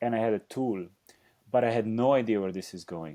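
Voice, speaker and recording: Speaking at a fairly quick pace with a Slovenian accent, a man with a medium pitch and a dark, mellow tone shows ordinary pitch variation. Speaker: dancer and choreographer. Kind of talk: interview conversation. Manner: halting.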